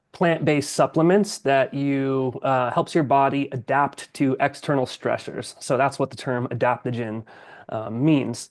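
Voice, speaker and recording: At a fairly slow pace, a man with an American accent and fairly high pitch uses an ordinary speaking voice with ordinary pitch variation against a quiet background. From US Southwest (New Mexico). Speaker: military veteran and coffee entrepreneur. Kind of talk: interview.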